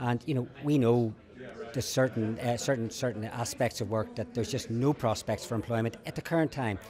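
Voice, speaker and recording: This man speaks at a fairly quick pace, his pitch medium. His intonation stays fairly even. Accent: Northern Irish. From Northern Ireland. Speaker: lawyer. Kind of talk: interview. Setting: conference event. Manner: halting, with many repetitions.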